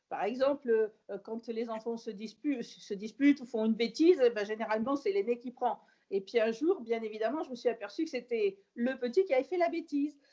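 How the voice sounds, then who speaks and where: Here is a woman with a plain, everyday voice and a fairly high pitch. She talks at a moderate pace with lively intonation and hardly any pauses. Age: 60s. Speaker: podcast guest, host's mother. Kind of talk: casual chat.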